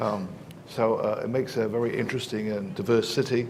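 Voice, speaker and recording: Over noticeable background noise, a man with an English accent talks very fast. His medium-pitched voice keeps a fairly even intonation. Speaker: professor. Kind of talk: panel discussion. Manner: halting, many fillers.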